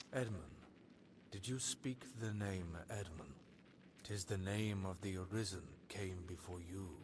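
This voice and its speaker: A man puts on a character voice, pitched very deep and low. He speaks at a fairly slow pace over clear background noise. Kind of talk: archaic, elevated speech. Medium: video game. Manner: solemn, measured.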